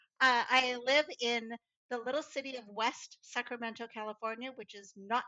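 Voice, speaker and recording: An ordinary speaking voice from a woman with an American accent. Her pitch is fairly high, with fairly even intonation at a moderate pace. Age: 60s. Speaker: clean tech professional. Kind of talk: interview storytelling.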